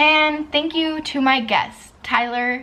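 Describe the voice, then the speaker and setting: A woman speaks loudly at a very slow pace. Her tone is bright and sharp. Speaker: podcast host and vlogger. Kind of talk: casual chat.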